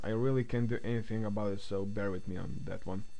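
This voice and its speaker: A man's voice comes with audible room echo. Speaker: software tutorial creator. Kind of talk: tutorial. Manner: halting.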